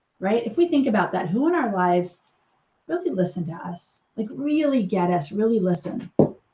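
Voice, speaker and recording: A woman's dark, mellow, somewhat breathy voice with very wide pitch swings. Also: medium pitch for a woman. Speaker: suicide prevention trainer. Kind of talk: training lecture. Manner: fast.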